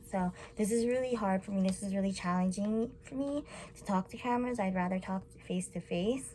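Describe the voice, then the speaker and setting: Against noticeable background noise, a woman mumbles with ordinary pitch variation. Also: medium pitch for a woman, fairly quick pace. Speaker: college student. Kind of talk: class presentation to camera. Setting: recorded to camera. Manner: mumbling; animated.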